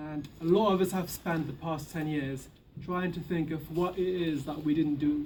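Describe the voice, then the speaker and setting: Amid audible room echo, a man speaks at a fairly slow pace and fairly high pitch, with monotone, flat intonation and long, frequent pauses. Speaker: activist speaker. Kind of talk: public speech. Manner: soft-spoken.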